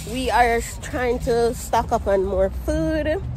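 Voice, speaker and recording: A woman with a Jamaican accent speaks at a very slow pace and a fairly high pitch. The sound is dry with no echo, and there is light background noise. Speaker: vlogger. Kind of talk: casual vlog talk to camera. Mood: cheerful, relaxed. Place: street. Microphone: phone near.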